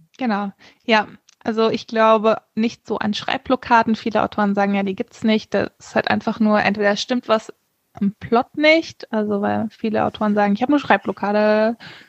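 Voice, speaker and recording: A woman speaks in a normal speaking voice, fairly high in pitch, at a moderate pace with fairly even intonation. The sound is dry and close, with no echo. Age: 30s. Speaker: author. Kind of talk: interview.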